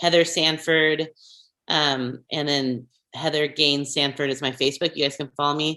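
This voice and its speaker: Against a quiet background, a woman speaks in a very deep, low pitch with a bright, sharp tone and monotone, flat intonation. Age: 40s. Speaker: former pastor. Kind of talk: interview. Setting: podcast. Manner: fast.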